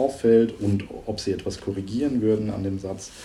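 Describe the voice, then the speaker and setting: A man speaks at a moderate pace in a fairly low pitch, his dark, mellow tone somewhat breathy, with fairly even intonation and audible room echo. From central Germany, East Franconian-Hessian-Thuringian border region. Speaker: linguist, university researcher. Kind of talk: interview conversation.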